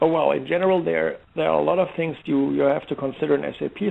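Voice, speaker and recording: A man speaks with a German accent. His pace is fairly quick. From Germany, Heidelberg. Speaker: software security expert. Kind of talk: interview. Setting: online radio show. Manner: halting, many fillers and restarts.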